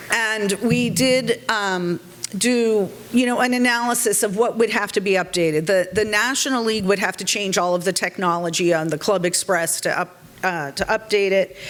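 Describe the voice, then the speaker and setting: A woman's voice with a Boston accent, very even loudness and noticeable background noise. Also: medium pitch for a woman, ordinary pitch variation, moderate pace. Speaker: civic organization board member. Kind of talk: meeting presentation.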